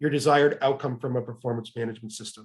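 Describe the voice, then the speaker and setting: A somewhat breathy male voice. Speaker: webinar presenter on HR topics. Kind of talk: webinar presentation. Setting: online webinar. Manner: fast.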